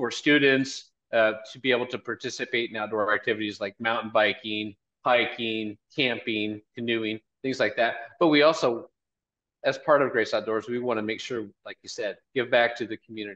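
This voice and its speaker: A man's bright, sharp voice at a moderate pace, with fairly even intonation. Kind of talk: interview answer. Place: office. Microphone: video call.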